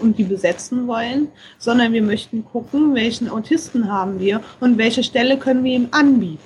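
Against noticeable background noise, a woman speaks at a moderate pace. Her pitch is fairly high, with ordinary variation. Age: 30s. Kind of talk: interview.

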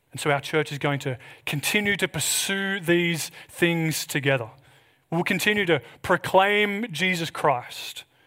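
Recorded very cleanly against a silent background, a man with an Australian accent speaks at a fairly slow pace in a high pitch, his tone bright and sharp and his pitch variation ordinary. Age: 30s. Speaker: pastor. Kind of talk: sermon.

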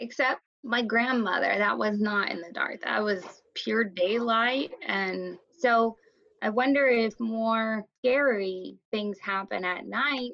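A woman with a US Midwestern accent, a very slow pace and ordinary pitch variation. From Iowa, US Midwest. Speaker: art teacher. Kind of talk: casual storytelling chat.

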